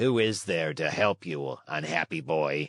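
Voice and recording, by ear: Putting on a character voice, a man growls out very deep, low, raspy lines at a fairly slow pace.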